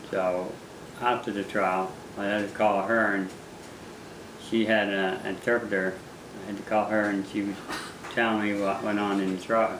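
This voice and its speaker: Amid noticeable background noise and audible room echo, the voice moves at a moderate pace in a monotone, flat intonation with long, frequent pauses. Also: man, fairly low pitch for a man. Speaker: fisherman, former prisoner. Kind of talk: interview testimony. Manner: halting, repeats words.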